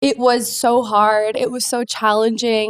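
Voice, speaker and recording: A woman with a Canadian accent has an unremarkable speaking voice, fairly high pitch and fairly even intonation, recorded with a dry, close sound and no echo. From Canada. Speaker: real estate agent. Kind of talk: podcast interview.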